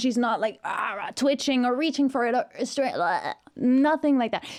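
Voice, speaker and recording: A woman talks with a Norwegian accent and an animated tone at a high pitch. Her pace is moderate, with ordinary pitch variation and hardly any pauses. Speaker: vocal coach / music reaction youtuber. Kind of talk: reaction commentary. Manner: animated, casual with many fillers.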